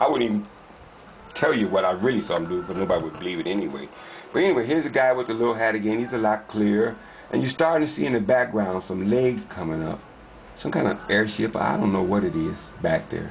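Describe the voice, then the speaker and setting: Over noticeable background noise, a man talks very fast at a fairly low pitch with lively intonation. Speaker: paranormal video uploader. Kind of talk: casual narration of video footage.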